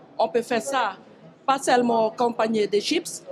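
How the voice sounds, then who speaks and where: A woman speaks over noticeable background noise. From French Guiana, Mana. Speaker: food producer. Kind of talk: interview at fair stand. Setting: agricultural fair. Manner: halting.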